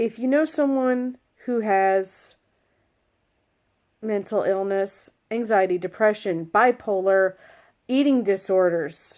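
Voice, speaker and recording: In a very clean recording with a silent background, a woman of medium pitch speaks at a very slow pace with long, frequent pauses. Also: ordinary pitch variation. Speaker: vlogger. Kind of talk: personal vlog talk. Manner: earnest.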